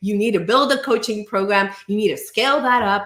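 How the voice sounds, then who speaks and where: A fairly high-pitched woman at a fairly quick pace, with noticeable background noise. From Venezuela. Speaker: business coach. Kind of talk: casual talk to camera.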